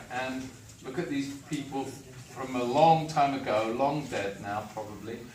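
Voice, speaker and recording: There is noticeable background noise and audible room echo. A man with an English accent speaks at a medium pitch with ordinary pitch variation. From England. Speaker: film and television director. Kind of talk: Q&A talk to young students.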